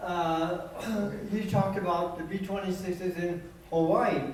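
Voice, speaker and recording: A man speaks at a very slow pace with noticeable background noise behind him. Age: 80s+. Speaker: war veteran, B-26 tail gunner. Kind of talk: reunion talk, war stories.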